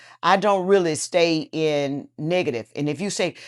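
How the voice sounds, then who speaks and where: A woman's fairly low voice with lively intonation, in a very clean recording with a silent background. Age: 60s. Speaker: businesswoman. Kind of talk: interview answer.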